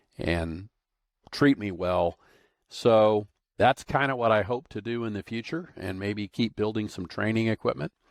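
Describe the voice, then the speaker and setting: In an unremarkable speaking voice with an American accent, the speaker goes at a fairly slow pace with ordinary pitch variation, in a very clean, dry, close recording with a silent background and no echo. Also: man, fairly low pitch for a man. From Arizona. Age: 60s. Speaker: industrial automation consultant and trainer. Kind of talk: podcast monologue. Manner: casual, conversational.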